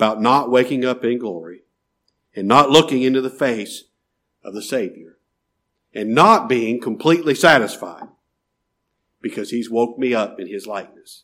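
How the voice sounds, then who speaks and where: A man speaks at a moderate pace in a warm tone, his medium pitch moving with ordinary variation, on a very clean recording with a silent background. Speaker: preacher. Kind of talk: sermon. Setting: church. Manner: earnest, warm pastoral exhortation, speaking directly to the congregation; measured, emphatic, with repetition for emphasis.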